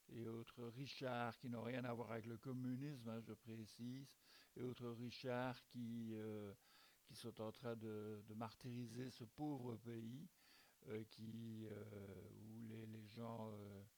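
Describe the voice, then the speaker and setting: A man speaks at a very slow pace in a medium pitch with monotone, flat intonation. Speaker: amateur video blogger presenting a news bulletin. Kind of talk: informal spoken news commentary. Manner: hesitant, many fillers and repetitions.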